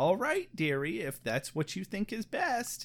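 This put-on character voice sits at a middle pitch and swings very widely up and down at a moderate pace. The recording is very clean, with a silent background. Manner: sweet, gentle.

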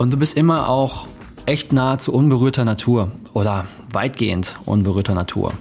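A man at a medium pitch and moderate pace, very even in loudness, with music in the background. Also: ordinary pitch variation. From Germany. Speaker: podcast host. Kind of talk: solo podcast monologue. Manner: casual, conversational.

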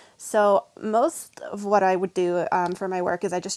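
A woman with a plain, everyday voice speaks in an American accent at a medium pitch with ordinary pitch variation, recorded very cleanly with a silent background and a dry, close sound with no echo. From US South. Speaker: vegan coach and writer. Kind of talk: casual interview.

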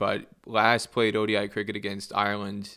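On a very clean recording with a silent background, a man with an American accent speaks in a fairly low pitch with a bright, sharp tone. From US Northeast, New Jersey. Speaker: cricket journalist. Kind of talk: casual interview. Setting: scorer's box at a cricket ground.

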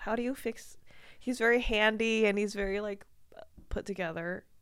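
Here is a woman with an ordinary speaking voice. Her pitch sits fairly high and varies in an ordinary way. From Washington DC area. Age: 20s. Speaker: comedian. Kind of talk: casual chat.

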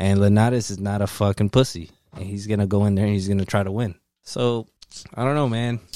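A man's dark, mellow voice at a fairly low pitch, very fast and fairly even in intonation, on a very clean recording with a silent background. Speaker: podcast host. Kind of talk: casual chat. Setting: studio.

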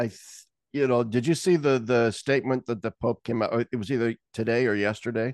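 A man's medium-pitched voice, an unremarkable speaking voice, dry and close with no echo against a quiet background. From Nebraska. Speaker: theologian. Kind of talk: casual chat.

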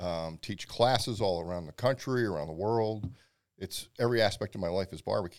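A man with a normal speaking voice and an American accent, fairly low in pitch, fairly quick, with ordinary pitch variation. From Pennsylvania. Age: 50s. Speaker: barbecue pitmaster and instructor. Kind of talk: casual chat.

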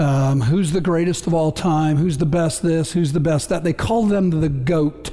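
This man talks at a fairly high pitch with ordinary pitch variation. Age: 60s. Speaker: pastor. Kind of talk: sermon. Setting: church.

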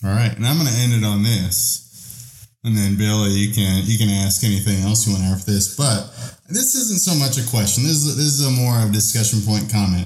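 A man with an American accent and a plain, everyday voice, fairly low in pitch with ordinary pitch variation, at a fairly quick pace with hardly any pauses and very even loudness. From Texas. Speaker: podcast co-host. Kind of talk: casual chat.

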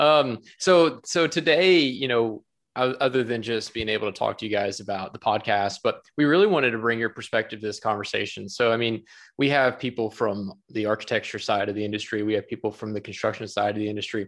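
In a very clean recording with a silent background, a man with a normal speaking voice talks at medium pitch and a fairly quick pace with ordinary pitch variation. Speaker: podcast host. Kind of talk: casual interview chat.

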